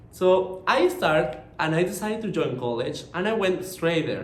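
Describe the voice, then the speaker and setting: A man with a Mexican accent speaks at a moderate pace in a high pitch. Audible room echo and noticeable background noise surround him. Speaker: marketing professional. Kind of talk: conference presentation.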